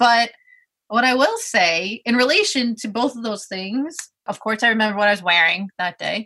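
A woman speaks in a Brooklyn accent with a bright, sharp tone and fairly high pitch. Her intonation is lively, and her pace moderate. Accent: New York (Brooklyn). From Brooklyn, New York. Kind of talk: casual interview chat.

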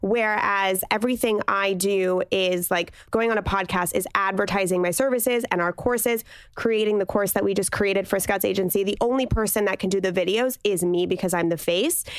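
A woman with a normal speaking voice talks at medium pitch and a fairly quick pace, her loudness very even and her intonation fairly even, on a very clean recording with a silent background. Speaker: podcast co-host. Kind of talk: casual chat.

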